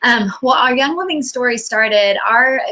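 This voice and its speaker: At a fairly quick pace, a woman with an American accent speaks with ordinary pitch variation amid noticeable background noise. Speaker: chiropractor and essential oils business leader. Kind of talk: online presentation. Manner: fast; frequent um fillers.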